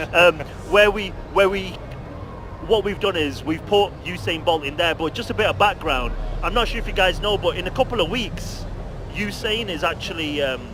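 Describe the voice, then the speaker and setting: Against noticeable background noise, a man with a high pitch talks with long, frequent pauses. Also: ordinary pitch variation. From UK. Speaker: video game company representative. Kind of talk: interview. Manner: fast, talkative; halting with repetitions.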